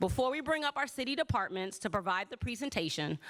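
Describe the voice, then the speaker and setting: The speaker has an American accent and a bright, sharp tone. The pace is fairly quick, with lively intonation. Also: woman. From US Midwest, Chicago. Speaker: city councilmember. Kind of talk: town hall opening remarks. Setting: auditorium with audience. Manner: fast.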